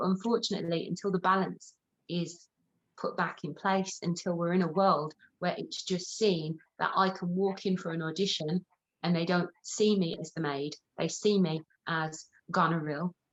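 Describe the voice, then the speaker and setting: A woman with a Birmingham accent speaks at a fairly low pitch with fairly even intonation. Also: moderate pace. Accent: Brummie. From Birmingham, England. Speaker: actor and theatre producer. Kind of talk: interview answer.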